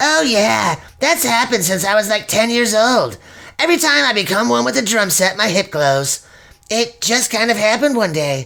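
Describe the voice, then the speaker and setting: A woman uses a put-on character voice, fairly high in pitch. She keeps a moderate pace. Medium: audio drama. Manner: casual, relaxed.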